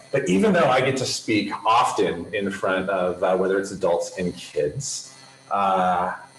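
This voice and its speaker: The man's pace is fairly slow. His voice carries audible room echo over noticeable background noise. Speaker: camp director giving keynote. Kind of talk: keynote presentation over video. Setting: video conference from a room in a health center. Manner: loud.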